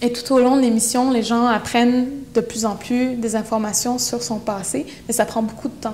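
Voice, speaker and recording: A woman speaks at a fairly high pitch with monotone, flat intonation. Her pace is moderate, with light background noise. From Quebec, Innu from Pessamit; Quebec. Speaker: poet and activist; poet. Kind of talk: interview. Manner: halting. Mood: earnest, reflective. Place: empty room. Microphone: lapel.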